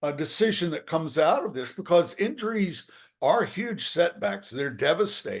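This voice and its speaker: With an American accent, a man talks at a moderate pace in a high pitch, his intonation lively. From US South, southwest Virginia. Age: 70s. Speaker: sports journalist and author. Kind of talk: casual interview.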